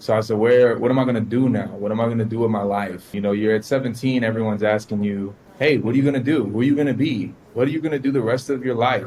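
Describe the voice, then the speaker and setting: Amid noticeable background noise, a man with a Miami accent talks at a very fast pace and medium pitch with fairly even intonation. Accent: Miami American English. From US South, Miami, Florida. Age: 20s. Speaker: forex trader. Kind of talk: interview.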